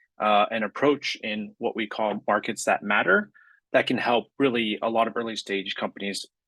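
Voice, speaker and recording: A man with a Californian accent, medium pitch and moderate pace, in a dry, close sound with no echo. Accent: Californian American. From US West Coast, San Francisco Bay Area. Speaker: climate accelerator program director. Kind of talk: panel presentation.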